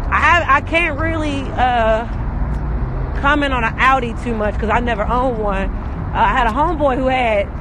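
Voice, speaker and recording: With a raised, projected voice, a man speaks at a moderate pace with ordinary pitch variation, in a dry sound with no echo and noticeable background noise. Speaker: live streamer. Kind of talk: casual vlog chat. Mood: upbeat, boastful. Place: street. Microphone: phone near.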